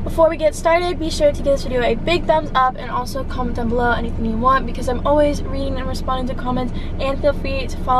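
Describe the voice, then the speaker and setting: A woman's high voice at a very fast pace, with fairly even intonation, a dry sound with no echo, and noticeable background noise. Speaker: vlogger. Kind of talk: casual vlog chat. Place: car. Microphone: phone near.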